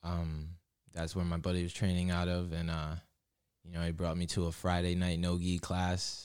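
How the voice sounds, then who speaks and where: On a very clean recording with a silent background, a man talks at a moderate pace in a very deep, low pitch with monotone, flat intonation. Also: very even loudness. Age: 20s. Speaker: amateur MMA fighter. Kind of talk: casual interview chat. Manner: relaxed, many fillers.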